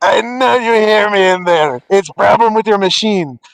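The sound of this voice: A man uses a put-on character voice pitched high for a man. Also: moderate pace.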